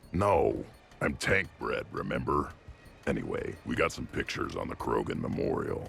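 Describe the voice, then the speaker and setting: A man puts on a raspy character voice with a deadpan tone. He speaks at a moderate pace as music plays in the background. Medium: video game. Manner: blunt, gruff, deadpan.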